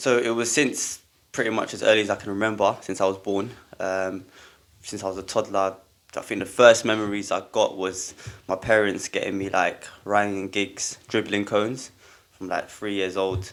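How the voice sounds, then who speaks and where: A man with a London accent speaks at a moderate pace in a fairly low pitch with monotone, flat intonation, on a very clean recording with a silent background. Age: 20s. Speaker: football coach. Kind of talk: podcast interview. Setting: studio.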